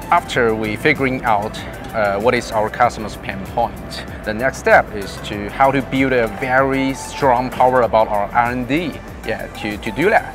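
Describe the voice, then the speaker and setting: With clear music in the background and a dry sound with no echo, a man speaks at a fairly slow pace. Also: fairly even intonation. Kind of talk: interview answer. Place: hall. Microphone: lapel.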